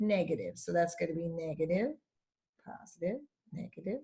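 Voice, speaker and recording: A woman's somewhat breathy, animated voice with lively intonation. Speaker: math teacher. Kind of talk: tutorial.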